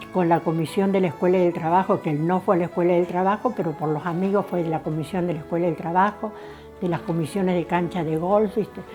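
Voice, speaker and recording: With music in the background, a woman speaks at a very fast pace. Her pitch is fairly low and her intonation fairly even. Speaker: interviewee recounting local family history. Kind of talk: casual interview answer.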